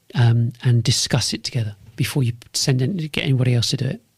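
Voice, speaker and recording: Somewhat breathy and with a London accent, a man speaks at a fairly quick pace in a dry, close sound with no echo. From North London, England. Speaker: podcast host and business consultant. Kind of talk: monologue podcast pitch. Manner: repetitive, restarts phrases; sharp, direct.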